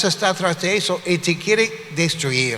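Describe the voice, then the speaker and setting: A man speaks in a raised, projected voice at a high pitch, with ordinary pitch variation. His pace is fairly slow, and there is noticeable background noise. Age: 60s. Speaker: pastor. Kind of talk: sermon.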